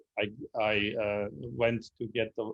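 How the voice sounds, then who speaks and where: Speaking at a medium pitch, a man talks in a German accent. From Germany (Berlin). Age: 60s. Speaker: club member presenter on history. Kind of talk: Q&A answer after a history presentation. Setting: video call. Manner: halting, many fillers.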